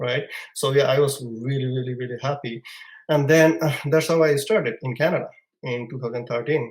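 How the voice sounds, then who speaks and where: Fairly high-pitched male voice with a Bangladeshi accent, somewhat breathy, fairly even in intonation and at a fairly quick pace. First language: Bengali. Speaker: immigrant entrepreneur. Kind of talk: podcast interview storytelling. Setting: live podcast. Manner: halting.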